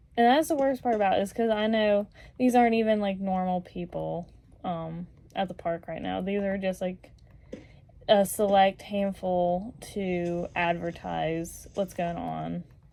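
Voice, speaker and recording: With a dark, mellow tone, a woman talks fairly slowly at a medium pitch. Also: ordinary pitch variation. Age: 20s. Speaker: vlogger. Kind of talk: casual rant to camera. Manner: animated.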